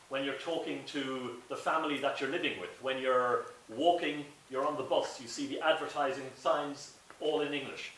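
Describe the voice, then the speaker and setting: A man talks with an Irish accent. There is audible room echo and noticeable background noise. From Ireland. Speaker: director of an English language school. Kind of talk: presentation to an audience. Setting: talk at a school in St Petersburg with audience. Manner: slow, clear for language learners.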